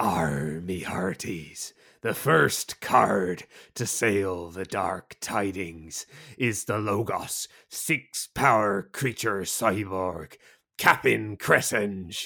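A man uses a put-on character voice that is raspy and fairly low in pitch, at a very slow pace. The recording is very clean, with a silent background. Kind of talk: old pirate slang. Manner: playful, theatrical.

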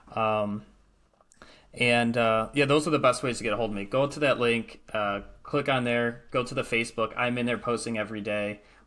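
This bright, sharp voice speaks with an American accent. The pace is moderate and the intonation fairly even. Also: man, medium pitch for a man. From Michigan, US Midwest. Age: 30s. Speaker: real estate investor. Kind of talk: casual chat.

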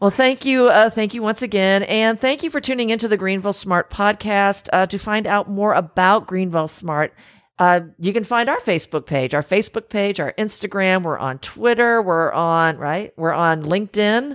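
A woman speaks in a plain, everyday voice at medium pitch, with lively intonation and a moderate pace. She hardly pauses, and the recording is very clean with a silent background. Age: 40s. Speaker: podcast host, chamber of commerce director. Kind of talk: casual interview chat. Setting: studio.

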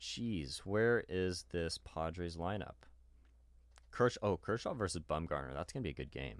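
The delivery is animated, with lively intonation and vocal fry at a moderate pace. The recording is very clean, with a silent background. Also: man, very deep, low pitch for a man. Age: 20s. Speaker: sports podcast co-host. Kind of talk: casual chat.

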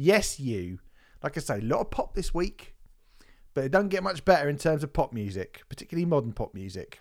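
A man with an English accent talks at a moderate pace, his pitch swinging very widely. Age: 40s. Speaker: music podcast host. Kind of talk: casual chat. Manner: animated.

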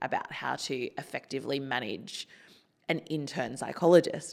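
A woman with an Australian accent speaks at a moderate pace in a very deep, low voice, recorded very cleanly against a silent background. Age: 30s. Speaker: psychologist and suicide researcher. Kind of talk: personal testimony interview.

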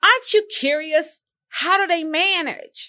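A woman's raised, projected voice at a fairly slow pace, animated and bright and sharp in tone, with lively intonation, in a very clean recording with a silent background. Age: 40s. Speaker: financial podcast host. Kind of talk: solo podcast monologue.

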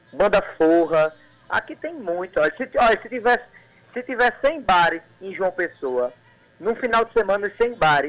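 A high-pitched man speaks with lively intonation over noticeable background noise. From Sertão of Paraíba, Brazil (Cajazeiras). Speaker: poet and actor. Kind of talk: casual radio interview.

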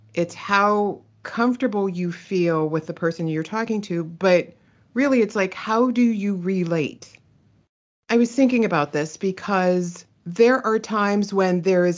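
Against a quiet background, a woman with an American accent speaks fairly slowly at a medium pitch with ordinary pitch variation. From Pittsburgh, Pennsylvania, US. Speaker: digital asset manager. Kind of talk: interview testimony.

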